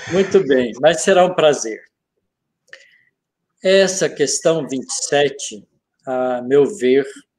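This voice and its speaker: A man with a fairly high pitch speaks at a very slow pace with lively intonation. His speech has long, frequent pauses. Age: 70s. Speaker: physics professor and spiritist speaker. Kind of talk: study group discussion.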